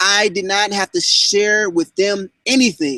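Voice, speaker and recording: A man's high voice has an animated, bright, sharp tone and lively intonation. The sound is dry and close, with no echo. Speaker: online marketing trainer. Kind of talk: live online training hangout.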